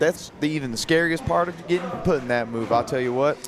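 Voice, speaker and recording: Over music in the background, a man speaks with an American accent. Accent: southern US accent, comes out at times. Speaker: wrestling color commentator, wrestler. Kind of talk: live commentary. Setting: live wrestling event at training academy.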